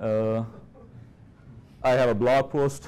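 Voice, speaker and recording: A man speaks with an Indian accent at medium pitch. His intonation is monotone and flat. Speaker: software engineer, conference speaker. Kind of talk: conference talk.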